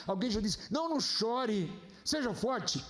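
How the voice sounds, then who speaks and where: In a room with audible echo, a man talks at a fairly slow pace with an extremely high pitch and very wide pitch swings. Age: 60s. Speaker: pastor. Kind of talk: sermon. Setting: church.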